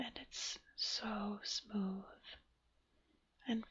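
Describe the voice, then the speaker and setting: The voice is whispering. It goes at a very slow pace. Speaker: ASMR creator. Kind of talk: ASMR rambling talk. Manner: whispered, soft-spoken.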